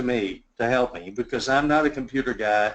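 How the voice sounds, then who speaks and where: A man with an ordinary speaking voice talks at a fairly slow pace, his pitch medium and his intonation lively. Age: 60s. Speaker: webinar participant. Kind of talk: casual chat.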